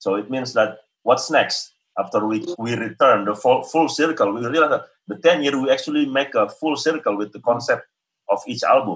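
A man with an Indonesian accent speaks at a moderate pace. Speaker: experimental vocalist and musician. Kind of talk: interview, conversational. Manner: hesitant, with fillers.

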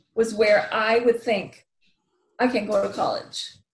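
A somewhat breathy woman's voice, fairly high in pitch, with an American accent. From US Midwest, Wisconsin. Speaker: motivational speaker. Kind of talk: interview.

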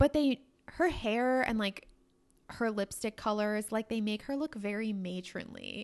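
Here is a woman with a plain, everyday voice and a fairly high pitch, speaking fairly slowly with ordinary pitch variation. The sound is dry and close, with no echo. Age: 20s. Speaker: podcast co-host. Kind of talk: casual chat.

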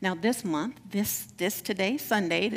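A woman speaks in an unremarkable speaking voice at a moderate pace with ordinary pitch variation. The recording is very clean, with a silent background. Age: 60s. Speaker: minister. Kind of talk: sermon.

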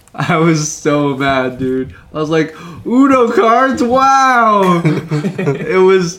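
Talking very slowly with an American accent, a man has a high pitch and very wide pitch swings. Room echo is audible, and background noise is noticeable. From Southern California, Anaheim area. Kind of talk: casual chat.

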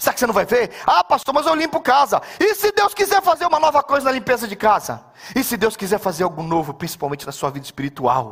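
Over noticeable background noise, a man with an extremely high pitch talks very fast in an animated tone, with very wide pitch swings and hardly any pauses. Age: 50s. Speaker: pastor. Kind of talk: sermon.

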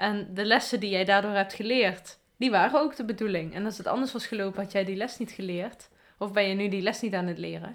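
A woman's normal speaking voice at medium pitch, fairly quick, with hardly any pauses and fairly even intonation. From Afferden, Limburg, Netherlands. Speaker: podcast host. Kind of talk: casual chat.

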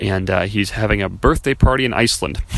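Over noticeable background noise, a man in an American accent speaks at a fairly quick pace with fairly even intonation. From US Midwest, Chicago area. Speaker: podcast host, network marketer. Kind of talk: casual solo monologue. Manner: casual, with many fillers.

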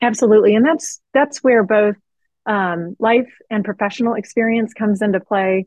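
A woman speaks with a US Midwestern accent at a fairly high pitch. Her pace is moderate and her pitch variation ordinary. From Missouri, US. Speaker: political strategist and consultant. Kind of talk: interview.

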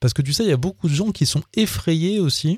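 A man's dark, mellow voice with very wide pitch swings, dry and close with no echo, on a very clean recording with a silent background. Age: 40s. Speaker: podcast host. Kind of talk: casual monologue. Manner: halting, many fillers and repetitions.

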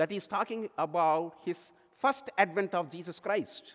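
At a fairly slow pace, a man delivers his words. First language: non-English native language. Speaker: lay preacher. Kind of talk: sermon. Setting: church.

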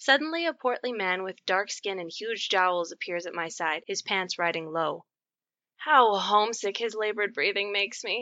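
A woman talks in an unremarkable speaking voice at medium pitch. Her intonation is lively and her pace moderate. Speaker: short story narrator. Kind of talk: dramatic narration of a absurdist comic story, read aloud.

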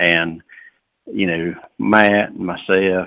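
Fairly even intonation in a Southern US accent. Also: man. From North Carolina. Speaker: farmer. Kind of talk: radio interview. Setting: phone call.

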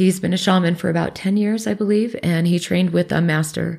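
A woman with an American accent speaks in an ordinary speaking voice, fairly low for a woman, at a fairly quick pace. Her intonation is lively, and the recording is very clean with a silent background. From Alaska and US Northwest. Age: 40s. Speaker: Reiki practitioner. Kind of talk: interview.

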